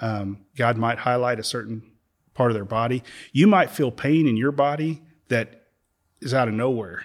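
An ordinary speaking voice from a man at medium pitch, with moderate pace and ordinary pitch variation, on a very clean recording with a silent background. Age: 50s. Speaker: church member speaking on faith and healing. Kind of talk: faith conversation, interview.

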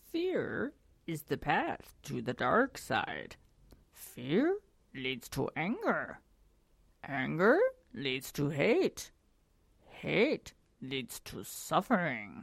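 In a put-on character voice, a woman speaks with a very deep, low pitch and a solemn tone. Her pace is very slow, with long, frequent pauses. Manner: solemn, wise, slow.

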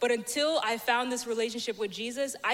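Fairly high-pitched woman's voice at a fairly quick pace, fairly even in intonation, with noticeable background noise. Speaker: church member sharing testimony. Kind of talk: testimony.

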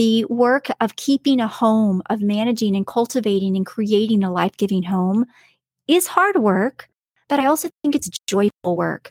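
A somewhat breathy woman at a moderate pace, in a dry, close sound with no echo. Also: lively intonation, very clean recording, silent background. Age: 40s. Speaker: podcast host, homemaker and homeschooling mother. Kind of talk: solo podcast monologue. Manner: conversational with frequent filler words.

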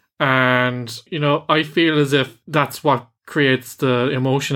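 In an Irish accent, a man speaks at a fairly slow pace with a fairly high pitch, a bright, sharp tone and fairly even intonation. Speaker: podcast host, film reviewer. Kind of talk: casual review chat; scripted show outro.

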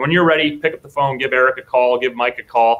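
A man with an American accent and a normal speaking voice, medium in pitch, fairly quick and fairly even in intonation. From Minnesota (Apple Valley). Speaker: podcast co-host. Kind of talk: casual video interview.

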